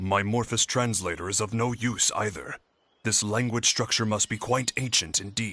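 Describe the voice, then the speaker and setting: Against a quiet background, a man does a put-on character voice at a medium pitch and a moderate pace. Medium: video game. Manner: formal, polite.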